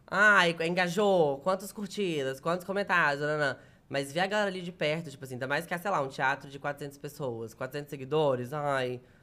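The man's voice is bright and sharp, fairly high in pitch, with ordinary pitch variation. He speaks with hardly any pauses. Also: moderate pace. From Minas Gerais, Brazil (near Bahia border). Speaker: comedian. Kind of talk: casual chat.

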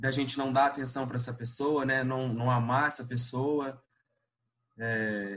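A man's unremarkable speaking voice, an unremarkable speaking voice at medium pitch and a fairly slow pace. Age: 20s. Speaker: university student and prayer group coordinator. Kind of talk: casual chat.

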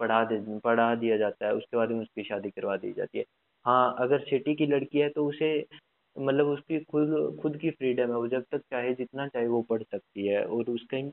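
A man with a plain, everyday voice, fairly even intonation, and a moderate pace. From Haryana, Fatehabad district. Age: 20s. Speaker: podcast host. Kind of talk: casual interview chat.

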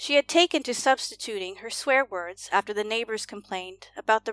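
Just plain reading aloud

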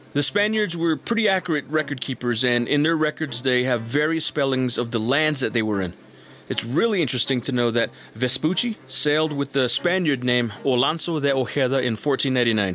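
A man with a plain, everyday voice speaks at a medium pitch and a fairly quick pace, with lively intonation. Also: very even loudness. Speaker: YouTuber and military veteran. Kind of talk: casual monologue.

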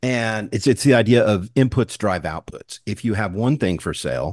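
An ordinary speaking voice at a moderate pace with ordinary pitch variation. The sound is dry and close with no echo over a quiet background. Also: man. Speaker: podcast host. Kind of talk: interview conversation. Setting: video call.

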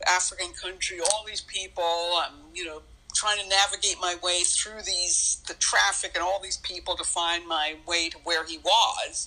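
A woman's medium-pitched voice, monotone and flat, at a moderate pace with hardly any pauses, amid noticeable background noise. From grew up moving between countries (third culture kid). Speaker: world traveler and author. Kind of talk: casual interview chat.

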